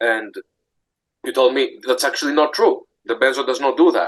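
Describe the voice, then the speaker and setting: At a moderate pace, the speaker talks with a Greek accent. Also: man. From Greece. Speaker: support group member. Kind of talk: casual chat. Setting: video call. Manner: halting.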